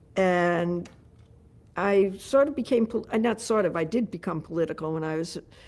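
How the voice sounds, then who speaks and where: A woman's medium-pitched voice in a New York accent, with lively intonation, a moderate pace and a very clean recording with a silent background. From New York City. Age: 70s. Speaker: mayoral candidate. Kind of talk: interview.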